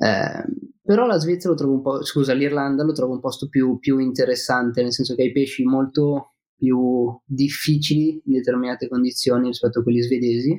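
This man has an unremarkable speaking voice at a medium pitch. He talks at a fairly quick pace with fairly even intonation and very even loudness. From Milan, northern Italy. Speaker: fishing guest, fly and spinning angler. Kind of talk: casual chat.

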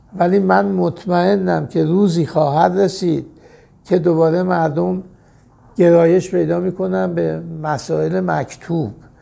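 At a fairly slow pace, a man with a fairly high, dark, mellow voice swings his pitch very widely. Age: 70s. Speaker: veteran mountaineer and magazine publisher. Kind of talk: interview.

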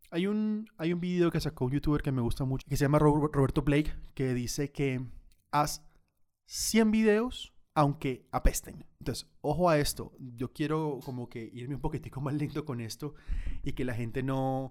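A man's plain, everyday voice at a moderate pace with ordinary pitch variation. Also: fairly high pitch for a man. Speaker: photographer and videographer. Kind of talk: webinar tutorial.

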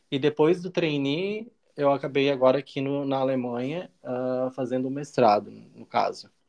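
Speaking at a moderate pace with hardly any pauses, a man has a fairly high pitch and ordinary pitch variation. His is an unremarkable speaking voice, with big swings in loudness. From Brazil, Santa Catarina (small coastal town). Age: 30s. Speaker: master's student and foreign trade professional. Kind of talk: casual interview.

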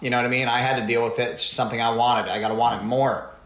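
A man with an American accent speaks at a fairly quick pace and medium pitch. The recording has audible room echo and noticeable background noise. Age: 30s. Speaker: athlete and former TV meteorologist. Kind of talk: interview.

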